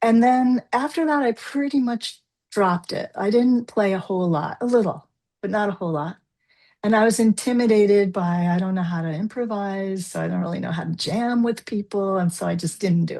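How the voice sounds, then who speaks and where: Against a quiet background, a woman with an American accent talks at a fairly quick pace with medium pitch, ordinary pitch variation, and a dark, mellow tone. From New Jersey. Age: 60s. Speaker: forgiveness coach. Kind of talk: interview.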